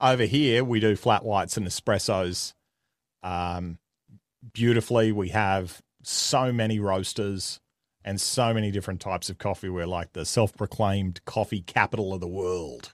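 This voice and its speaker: A man speaks with an Australian accent at a fairly low pitch. His pace is moderate and his pitch variation ordinary. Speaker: comedian and media personality. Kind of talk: casual interview chat. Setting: remote call.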